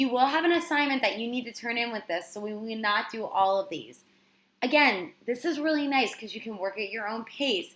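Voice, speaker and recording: A woman with a plain, everyday voice, fairly high in pitch, at a fairly quick pace, with lively intonation and big swings in loudness. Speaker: teacher. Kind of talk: lesson.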